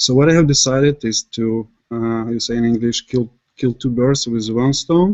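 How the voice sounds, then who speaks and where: This man has a medium-pitched voice and a non-native accent. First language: not English. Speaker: software developer. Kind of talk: technical presentation. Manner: halting with many fillers.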